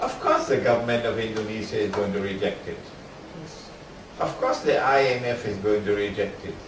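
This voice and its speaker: Through noticeable background noise and audible room echo, a man's voice swings very widely in pitch. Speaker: Islamic scholar. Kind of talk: lecture. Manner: slow.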